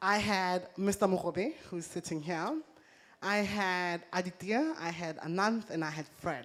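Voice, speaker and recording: On a very clean recording with a silent background, a woman talks in a normal speaking voice. Her pitch is medium with ordinary variation, and her pace is fairly slow. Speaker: entrepreneur. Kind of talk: talk to a live audience.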